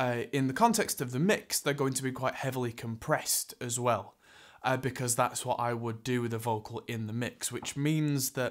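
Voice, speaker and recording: Against a quiet background, the talking proceeds at a moderate pace. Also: man. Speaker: presenter. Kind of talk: tutorial. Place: studio.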